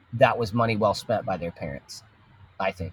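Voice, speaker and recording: A somewhat breathy man with an American accent and ordinary pitch variation, in a dry, close sound with no echo. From Texas. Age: 30s. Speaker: children's show producer and entrepreneur. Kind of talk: casual interview chat.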